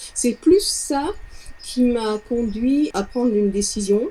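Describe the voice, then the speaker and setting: A high-pitched woman with lively intonation. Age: 60s. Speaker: sound therapist, former music teacher. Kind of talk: client testimonial interview. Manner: halting, with repetitions.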